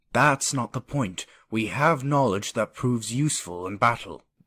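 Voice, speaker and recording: In a put-on character voice, a man speaks at medium pitch and a moderate pace. The recording is very clean, with a silent background. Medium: machinima. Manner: blunt, skeptical.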